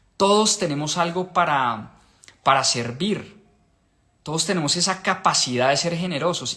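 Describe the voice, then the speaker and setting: A man's high-pitched voice, animated, with lively intonation and a bright, sharp tone. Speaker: book club host. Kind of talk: live stream book discussion. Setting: live stream.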